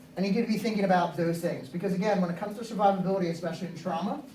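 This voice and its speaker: A man at a high pitch, very fast pace and ordinary pitch variation, amid audible room echo and noticeable background noise. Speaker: EMS assistant chief and SWAT team medic instructor. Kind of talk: lecture.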